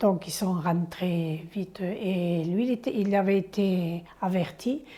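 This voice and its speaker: A woman's medium-pitched voice sounds somewhat breathy, with a dark, mellow tone. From southern France, Aude. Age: 70s. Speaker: elderly villager sharing memories. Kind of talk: oral history interview. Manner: halting.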